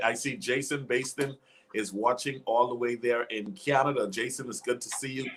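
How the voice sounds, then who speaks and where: A man with a Bahamian accent speaks at a moderate pace. His tone is animated and his pitch is medium. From Bahamas. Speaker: life coach and talk show host. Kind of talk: live online interview. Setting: live video stream.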